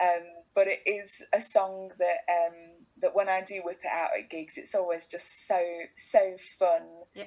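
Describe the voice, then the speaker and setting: A woman speaks with an East Midlands accent at a fairly slow pace. Her loudness swings widely against a quiet background. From England, Derby (East Midlands). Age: 30s. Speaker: folk singer-songwriter. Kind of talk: casual chat. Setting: video call. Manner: animated. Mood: warm, animated storytelling. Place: home room. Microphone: video call.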